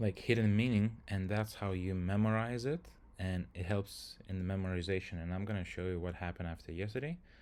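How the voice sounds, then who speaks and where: With a Lithuanian accent, a man talks at a fairly quick pace and ordinary pitch variation. The recording is very clean, with a silent background. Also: fairly low pitch for a man. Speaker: software engineer, language learner streamer. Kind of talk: live stream tutorial. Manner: hesitant, many fillers.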